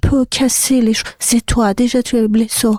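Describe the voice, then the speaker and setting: A woman with a high pitch and a dark, mellow tone speaks fairly slowly in a flat monotone, the sound dry and close with no echo. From Iran, Sistan-Baluchestan. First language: Sistani (Persian dialect) (speaking French). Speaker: artist and singer. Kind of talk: interview. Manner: halting.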